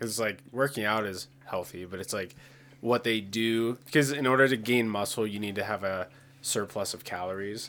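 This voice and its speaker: A plain, everyday voice from a man with an American accent, fairly low in pitch, at a moderate pace with fairly even intonation. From rural Pennsylvania. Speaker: podcast co-host. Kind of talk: casual chat.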